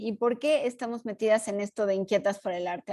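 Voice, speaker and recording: A woman's fairly high voice with a dark, mellow tone, ordinary pitch variation, a moderate pace and a quiet background. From Mexico. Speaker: podcast co-host, art historian and teacher. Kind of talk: casual chat.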